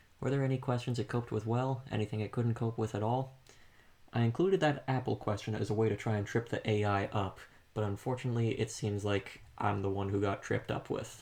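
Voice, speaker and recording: Over a quiet background, a man with a medium-pitched, somewhat breathy voice talks at a very fast pace, with very even loudness and fairly even intonation. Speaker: student doing a class assignment. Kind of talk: casual discussion. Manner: monotone.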